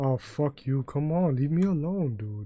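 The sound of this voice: A man with a New York accent, fairly high-pitched for a man, with lively intonation at a fairly slow pace.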